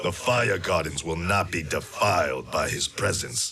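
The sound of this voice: A man puts on a character voice, low in pitch, bright and sharp, with vocal fry. He delivers it at a fairly slow pace with lively intonation.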